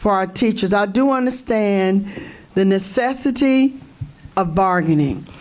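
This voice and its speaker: A woman with a fairly high pitch speaks fairly slowly, with ordinary pitch variation. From US South, Orlando, Florida. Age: 60s. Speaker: school board member. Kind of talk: public meeting remarks. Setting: board meeting room. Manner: animated.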